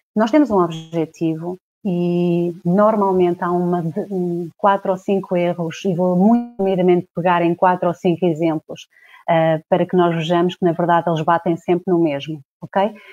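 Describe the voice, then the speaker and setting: A woman speaks at a fairly slow pace in a fairly low pitch, her intonation fairly even, with music playing in the background. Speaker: coach. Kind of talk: livestream talk to followers. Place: home room. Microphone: earbuds.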